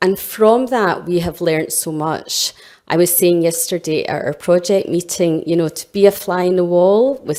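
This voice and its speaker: A woman speaks with a Scottish accent. Her voice is fairly low-pitched, with a dark, mellow tone. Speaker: health innovation director. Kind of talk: conference presentation.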